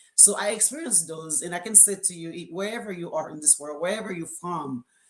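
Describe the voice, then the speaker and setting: Talking at a very fast pace, a woman with a strong Caribbean accent speaks at a fairly low pitch with ordinary pitch variation over noticeable background noise. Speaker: co-author of a book. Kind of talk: live stream panel talk. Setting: live video stream. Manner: hesitant, many fillers.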